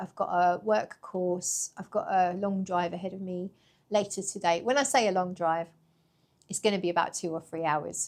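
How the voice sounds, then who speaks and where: In a very clean recording with a silent background, a woman with a British accent talks at a fairly quick pace, medium pitch and fairly even intonation. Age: 40s. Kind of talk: casual talk to camera.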